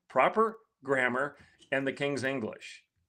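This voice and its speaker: With an American accent, a man speaks at a moderate pace in a bright, sharp tone with very wide pitch swings. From Michigan, rural blue-collar. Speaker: guest commentator. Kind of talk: political commentary talk.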